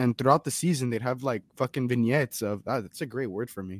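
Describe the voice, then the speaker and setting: Recorded with a dry, close sound and no echo, a man speaks in a medium pitch with lively intonation. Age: 20s. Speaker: sports podcast guest. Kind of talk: casual chat. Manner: animated.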